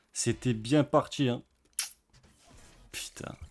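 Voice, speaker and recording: A man at medium pitch. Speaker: gambling streamer. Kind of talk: casual commentary while gambling online. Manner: fast; animated.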